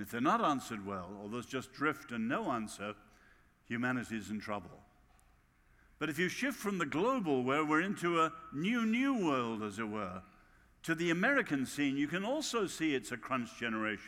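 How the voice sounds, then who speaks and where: A man with a British accent speaks in a fairly high, bright, sharp voice, his pitch swinging very widely. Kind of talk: sermon.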